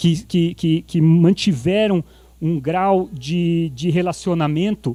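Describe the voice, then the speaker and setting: This man's voice has a dark, mellow tone. His pitch sits high. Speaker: preacher. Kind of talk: sermon. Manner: animated.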